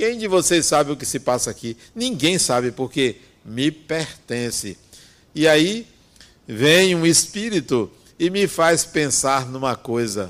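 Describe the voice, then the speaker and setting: A man talks at a very slow pace with a fairly high pitch. His voice swings very widely in pitch. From Brazil, Bahia interior. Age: 60s. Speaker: spiritist speaker. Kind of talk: spiritual talk.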